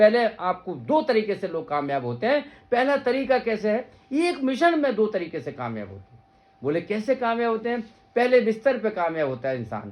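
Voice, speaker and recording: Loudness swings a lot as a man talks at a moderate pace in a high pitch, his intonation ranging very widely. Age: 50s. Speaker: veterinary surgeon and teacher. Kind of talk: motivational talk to students. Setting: gathering with students, filmed on mobile. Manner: animated.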